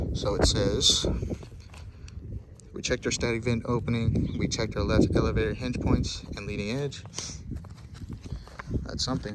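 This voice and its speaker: A man speaks with long, frequent pauses. Noticeable background noise runs behind him. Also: moderate pace. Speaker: pilot. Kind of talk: casual walkthrough tutorial. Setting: outdoors. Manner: casual, hesitant.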